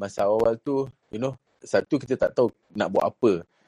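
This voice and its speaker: With a dark, mellow tone, a man talks at a fairly quick pace and ordinary pitch variation. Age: 20s. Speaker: company CEO. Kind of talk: interview. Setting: live audio chat room. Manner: energetic.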